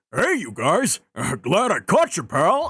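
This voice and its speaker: A man in a put-on character voice, high-pitched and at a fairly slow pace. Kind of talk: comic game voice-over. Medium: virtual streamer. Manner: folksy, keeps calling people "pal".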